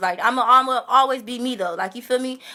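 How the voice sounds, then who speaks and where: Raised and projected, a woman's voice comes through high-pitched with a bright, sharp tone. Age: 20s. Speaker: social media livestreamer. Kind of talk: testimony. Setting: livestream. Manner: loud; animated.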